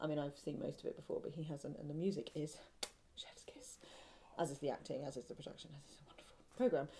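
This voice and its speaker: A woman speaks at a very fast pace in a very deep, low voice, somewhat breathy, with ordinary pitch variation. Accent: southern English. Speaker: podcast co-host, knitter. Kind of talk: casual chat. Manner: chatty, hesitant with many ums.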